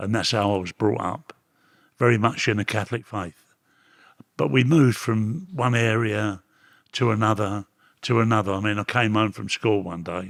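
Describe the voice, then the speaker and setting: In a Cockney accent, a man with a fairly low pitch speaks at a moderate pace with long, frequent pauses, the sound dry and close with no echo. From London, East End. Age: 80s+. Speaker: reformed ex-gangster. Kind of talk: interview. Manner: halting.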